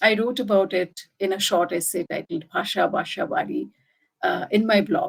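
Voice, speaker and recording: A woman's somewhat breathy voice at a moderate pace, with very wide pitch swings. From India, Delhi. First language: Bengali. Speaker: writer. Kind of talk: reading aloud; talk presentation.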